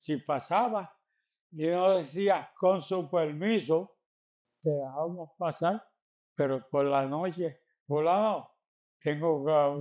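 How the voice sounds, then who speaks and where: On a very clean recording with a silent background, a man with a fairly high pitch speaks at a very slow pace with long, frequent pauses. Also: ordinary pitch variation. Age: 80s+. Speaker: community elder. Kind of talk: oral history interview answer.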